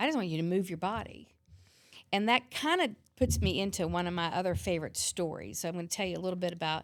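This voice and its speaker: With vocal fry and a fairly low voice, a woman talks at a very fast pace on a very clean recording with a silent background. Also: ordinary pitch variation. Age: 50s. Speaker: fitness trainer and yoga instructor. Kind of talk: podcast interview.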